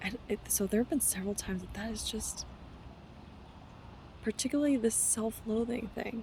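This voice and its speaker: Against noticeable background noise, a woman with a fairly high pitch speaks at a moderate pace in fairly even intonation, leaving long, frequent pauses. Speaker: wellness vlogger. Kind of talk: casual vlog monologue. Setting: traveling, on retreat. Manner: halting, many restarts.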